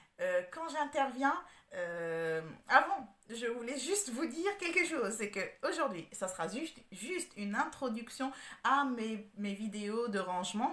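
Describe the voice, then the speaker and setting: At a fairly slow pace, a woman speaks in a fairly high voice with very wide pitch swings. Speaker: home organizer. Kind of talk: tutorial. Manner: halting, many hesitations.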